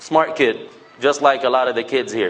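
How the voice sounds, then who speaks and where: Ordinary pitch variation marks a man's fairly quick speech. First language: Levantine Arabic. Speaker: public speaker. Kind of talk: talk to a mosque audience. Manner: animated.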